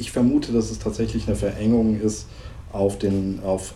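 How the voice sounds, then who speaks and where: A man's voice with audible room echo. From central Germany, East Franconian-Hessian-Thuringian border region. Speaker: linguist, university researcher. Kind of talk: interview conversation.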